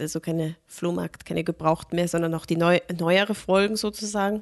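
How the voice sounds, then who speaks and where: A woman with an ordinary speaking voice speaks at a moderate pace and fairly even intonation, recorded dry and close with no echo over a quiet background. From Austria, moved from Germany as a small child. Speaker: film podcast co-host. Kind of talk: casual chat.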